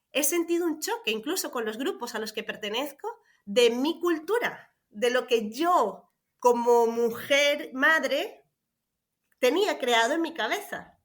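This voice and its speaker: A woman with a high voice talks very slowly, her pitch swinging very widely. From Venezuela. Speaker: parenting coach and special education teacher. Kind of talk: casual interview conversation. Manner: hesitant, many fillers and repetitions.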